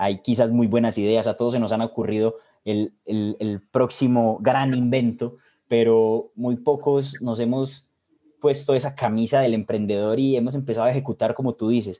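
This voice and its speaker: A man's medium-pitched, dark, mellow voice in a Colombian Paisa accent, at a moderate pace with fairly even intonation. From Colombia, Medellín. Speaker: podcast co-host. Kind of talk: casual chat.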